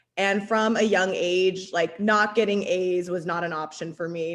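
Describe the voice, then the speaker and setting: With an American accent, a woman speaks in an ordinary speaking voice at medium pitch and a moderate pace, her intonation fairly even. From Arizona. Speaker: city council candidate. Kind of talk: political forum answer.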